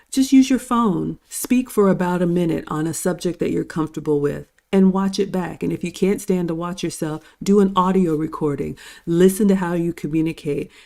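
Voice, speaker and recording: With a dark, mellow tone and a confident delivery, a woman speaks fairly quickly at a fairly low pitch with ordinary pitch variation. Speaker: show host and cooking YouTuber. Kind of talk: panel discussion. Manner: polished, confident speaker.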